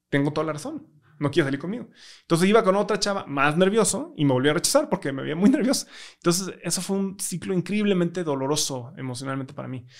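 Speaking very fast with lively intonation, a man with a Mexican accent has a high pitch for a man against a quiet background. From Mexico. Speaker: tech startup founder; podcast guest. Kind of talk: interview conversation. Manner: hesitant, many fillers. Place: studio. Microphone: studio mic.

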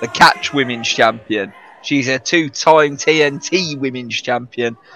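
Against music in the background, a man speaks at a medium pitch and a very slow pace. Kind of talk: live wrestling commentary. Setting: ringside at a live event. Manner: animated, enthusiastic play-by-play.

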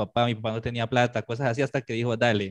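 Recorded dry with no echo, a man speaks with a Cali accent. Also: quiet background. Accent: Colombian (Caleño) Spanish. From Colombia, Cali. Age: 30s. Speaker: illustrator; guest. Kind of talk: casual interview. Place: home room. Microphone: video call.

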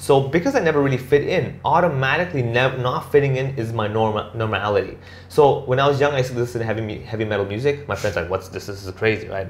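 Words pour out of a man at a very fast pace. His somewhat breathy voice shows ordinary pitch variation. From Hong Kong. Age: 30s. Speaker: stand-up comedian. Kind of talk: casual interview. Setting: at home. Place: office.

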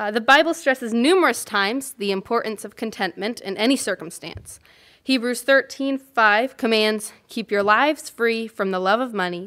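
A woman's bright, sharp tone at a fairly high pitch, with ordinary pitch variation, a moderate pace and a quiet background. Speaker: church member sharing reflection. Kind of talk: testimony. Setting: church. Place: church. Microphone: podium.

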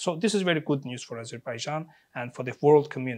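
A man at a fairly quick pace with ordinary pitch variation, over a quiet background. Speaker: interview guest, political commentator. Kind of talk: interview answer. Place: studio. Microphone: lapel.

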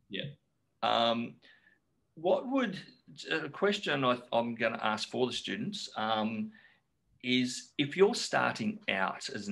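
With an Australian accent, a man speaks at a very slow pace. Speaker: forum moderator. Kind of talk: casual Q&A. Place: office. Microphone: webcam.

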